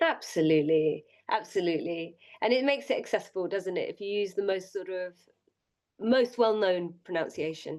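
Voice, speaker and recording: A woman with a British accent, medium pitch, lively intonation and a moderate pace. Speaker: podcast co-host. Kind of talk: casual chat.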